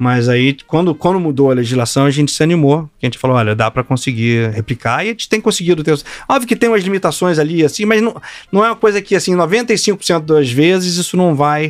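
Pitch swings very widely throughout. The pace is fairly quick. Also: man, fairly high pitch for a man. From Rio de Janeiro, Brazil. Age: 50s. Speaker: hedge fund partner. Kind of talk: casual interview.

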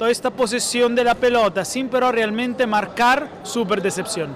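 Over noticeable background noise, a man with an Italian accent speaks at a fairly slow pace and an extremely high pitch. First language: Italian (speaking Spanish). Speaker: sports journalist. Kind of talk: casual discussion. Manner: halting.

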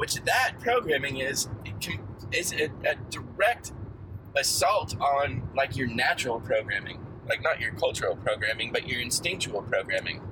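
Male speech at a moderate tempo amid noticeable background noise. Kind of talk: casual chat. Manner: profane, animated.

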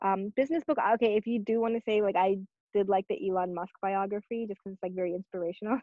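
A woman at a very fast pace, medium in pitch, with ordinary pitch variation. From Saudi Arabia, Pakistani family. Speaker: tech startup founder. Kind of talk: interview.

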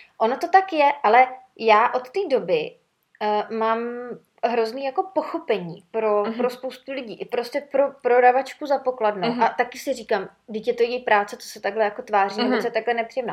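Talking at a fairly quick pace, a woman with a high pitch uses lively intonation and big swings in loudness. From Czechia, Sokolov. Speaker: podcast host, former flight attendant. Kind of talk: casual chat.

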